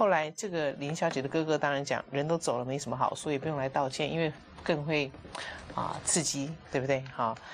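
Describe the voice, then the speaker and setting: A woman speaks over light background noise. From Taiwan. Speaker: talk show host. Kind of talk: casual chat. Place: studio. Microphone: lapel.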